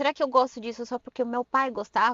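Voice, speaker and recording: The pace of this woman's speech is very fast. She talks at a high pitch. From Brazil, Suzano (São Paulo state). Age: 30s. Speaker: podcast guest. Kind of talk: casual interview chat.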